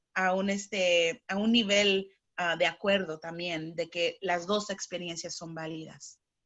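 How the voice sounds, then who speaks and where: Speaking at a fairly slow pace, a woman uses a fairly low pitch and monotone, flat intonation. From Chicago, US (Spanish-speaking home). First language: bilingual Spanish-English (speaking Spanish). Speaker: psychotherapist. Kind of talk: interview. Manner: halting, with fillers.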